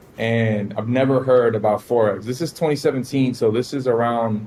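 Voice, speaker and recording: A man's fairly quick, fairly even speech at a medium pitch, with a Miami accent. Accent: Miami American English. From US South, Miami, Florida. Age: 20s. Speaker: forex trader. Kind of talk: interview.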